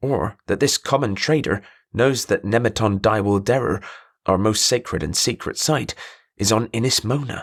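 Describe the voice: Against quiet surroundings, the speaker does plain reading aloud, pitch varying in an ordinary way.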